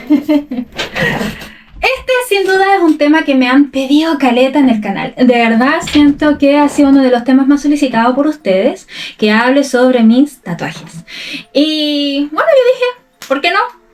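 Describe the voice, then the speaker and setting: Noticeable background noise surrounds a woman whose high-pitched, lively delivery runs at a moderate pace with long, frequent pauses. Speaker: Spanish teacher. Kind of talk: casual talk to camera. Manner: casual, unscripted.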